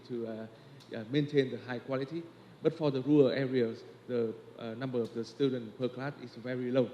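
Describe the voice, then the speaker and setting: A man's dark, mellow voice at medium pitch with a Vietnamese accent, moderate pace and fairly even intonation. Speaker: education researcher. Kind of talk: conference presentation. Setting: conference forum. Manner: halting, many fillers.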